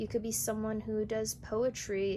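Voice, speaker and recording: Here a woman speaks with an unremarkable speaking voice. Her pitch is fairly high and her pace fairly slow. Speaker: tarot reader. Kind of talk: tarot reading to camera. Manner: casual.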